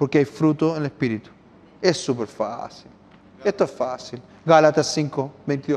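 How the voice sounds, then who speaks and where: The pace is fairly slow as this man talks. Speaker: pastor. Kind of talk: sermon. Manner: animated.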